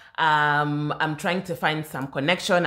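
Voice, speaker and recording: A woman's very deep, low voice with a bright, sharp tone at a fairly slow pace, on a very clean recording with a silent background. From Kenya. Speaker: podcast co-host. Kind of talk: casual chat. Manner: low-key.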